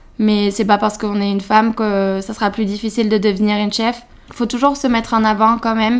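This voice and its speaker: Her pitch fairly high, a woman speaks with monotone, flat intonation. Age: 20s. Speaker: culinary student. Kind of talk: interview. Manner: hesitant, many fillers.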